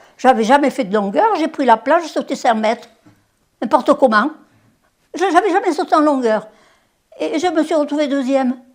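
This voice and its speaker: Her pitch is high and her intonation lively. The woman leaves long, frequent pauses. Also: moderate pace. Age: 80s+. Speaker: former Olympic sprinter. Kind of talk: interview. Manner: halting.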